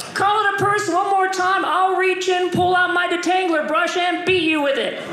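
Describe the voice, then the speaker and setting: A man's raised, projected voice at an extremely high pitch, with audible room echo and light background noise. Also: moderate pace. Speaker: stand-up comedian. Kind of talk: stand-up comedy routine. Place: stage. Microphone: handheld.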